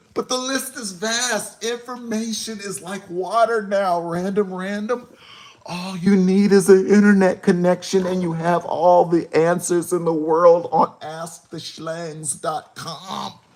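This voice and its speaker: Over noticeable background noise, a man speaks at a fairly slow pace in a high pitch. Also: ordinary pitch variation. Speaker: hip-hop show host. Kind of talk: live stream commentary. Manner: animated.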